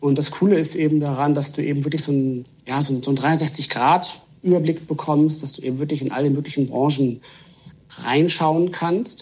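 Fairly even intonation marks this man's speech. He talks at a moderate pace. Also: fairly high pitch for a man. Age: 30s. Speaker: trend consultant. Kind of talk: podcast interview. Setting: video call. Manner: halting, repeats words.

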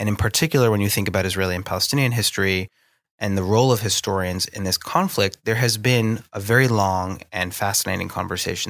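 On a very clean recording with a silent background, a man with an American accent speaks fairly quickly at a fairly low pitch, with fairly even intonation. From US Northeast. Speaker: historian and lecturer. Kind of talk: casual interview. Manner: halting, hesitant with fillers.

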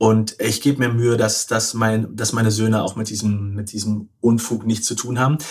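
A man at a moderate pace, medium in pitch, with monotone, flat intonation and hardly any pauses. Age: 40s. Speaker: author and journalist. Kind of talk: interview. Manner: halting.

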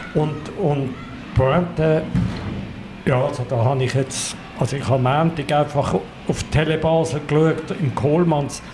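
Very slow, fairly even speech with audible room echo and noticeable background noise. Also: man, fairly high pitch for a man. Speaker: carnival expert. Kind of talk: casual chat.

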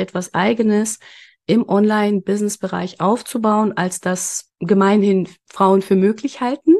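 Speaking in an unremarkable speaking voice, a woman keeps fairly even intonation at a fairly slow pace, the sound dry and close with no echo. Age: 30s. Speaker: business consultant and mentor. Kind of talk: casual interview chat.

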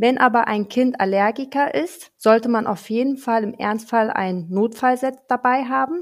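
A woman uses a normal speaking voice, fairly high in pitch, moving at a fairly slow pace with lively intonation. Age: 30s. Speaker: pharmacist. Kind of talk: interview.

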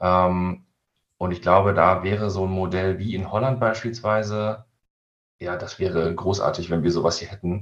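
The pace stays moderate. Intonation rises and falls only a little. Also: man. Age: 30s. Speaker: fishing website editor. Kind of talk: casual interview. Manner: hesitant, many fillers.

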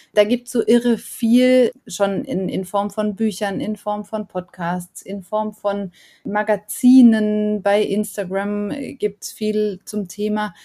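On a very clean recording with a silent background, a woman speaks at a very slow pace. Her dark, mellow tone sits at a fairly high pitch, with fairly even intonation. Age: 40s. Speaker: author. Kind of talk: interview. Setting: podcast.

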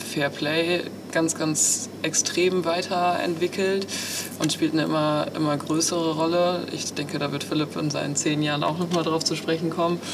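A woman's very deep, low, monotone voice with flat intonation at a moderate pace, with noticeable background noise and audible room echo. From Münsterland, Germany. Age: 20s. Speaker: amateur show jumper and project manager. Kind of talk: interview.

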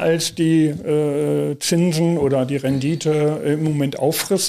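Very slowly, a man speaks at a fairly high pitch. The recording is very clean, with a silent background. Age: 60s. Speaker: family office manager, former bank executive. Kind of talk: interview. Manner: hesitant, many fillers.

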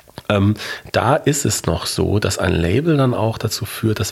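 A man with a fairly low pitch and ordinary pitch variation has an unremarkable speaking voice. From Germany, Ruhr area (Bochum). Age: 40s. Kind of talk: interview.

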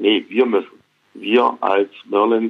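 The man's delivery is monotone and flat, at a medium pitch and a fairly slow pace. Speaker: basketball club executive. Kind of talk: interview. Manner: halting, many fillers.

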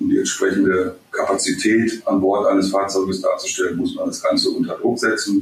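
A man speaks at a moderate pace. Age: 50s. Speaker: vehicle technology expert. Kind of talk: interview. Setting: remote call.

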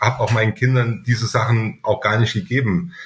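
A man speaks at a medium pitch. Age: middle-aged. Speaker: company director. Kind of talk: podcast interview.

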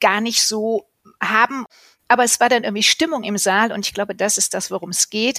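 This woman has a fairly high voice with a bright, sharp tone. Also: dry, close sound with no echo. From Cologne, Germany. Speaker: carnival cabaret performer. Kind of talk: interview.

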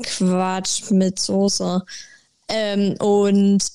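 The woman's voice has a dark, mellow tone. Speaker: podcast co-host. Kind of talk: casual chat.

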